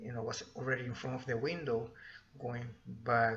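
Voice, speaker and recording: With a Spanish accent, a man at a medium pitch speaks with fairly even intonation amid audible room echo. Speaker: vlogger. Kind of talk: personal storytelling. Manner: halting.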